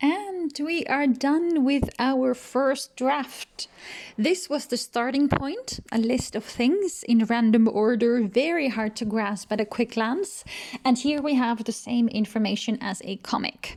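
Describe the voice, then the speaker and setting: The woman talks fairly slowly, her voice high and her intonation lively. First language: not English. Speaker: researcher and comic illustrator. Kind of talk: tutorial.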